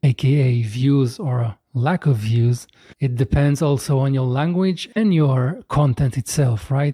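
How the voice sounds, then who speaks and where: A man with a non-native accent speaks very slowly in a medium pitch, his tone dark and mellow and somewhat breathy. The sound is dry and close with no echo, his loudness very even and his pitch variation ordinary. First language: not English. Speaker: content creator. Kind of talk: casual talk to camera.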